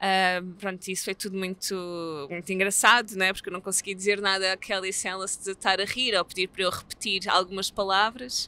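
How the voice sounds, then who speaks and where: With a European Portuguese accent, a woman talks at a fairly quick pace in a medium pitch with a bright, sharp tone. Her intonation is monotone and flat, and the sound is dry with no echo. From Portugal. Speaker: theatre artist; theatre project co-creator. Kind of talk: interview. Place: street.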